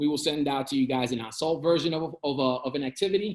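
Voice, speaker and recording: A man speaks fairly quickly at a fairly high pitch, his pitch varying in an ordinary way. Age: 30s. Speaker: coding instructor. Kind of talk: online presentation. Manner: fast.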